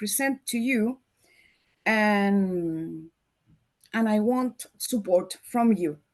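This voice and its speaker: Over a quiet background, a woman talks at a very slow pace. Her pitch is fairly high, in a Chilean accent. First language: Spanish. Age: 50s. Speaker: marketer. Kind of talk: presentation. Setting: video call. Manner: halting.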